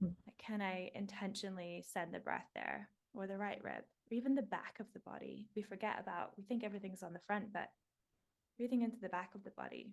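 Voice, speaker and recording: A woman with a medium pitch talks at a fairly quick pace, her voice showing vocal fry and fairly even intonation. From New Zealand. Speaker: breathwork guide and life coach. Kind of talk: guided breathwork meditation.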